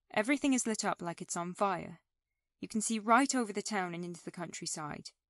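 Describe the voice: Behind the voice, all is quiet. The words are plainly read aloud.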